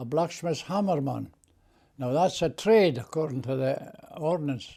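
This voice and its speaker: With a dark, mellow tone, a man talks at a fairly slow pace and a fairly high pitch, showing ordinary pitch variation. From Scotland, Scottish Borders. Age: 80s+. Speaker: war veteran. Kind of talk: interview answer.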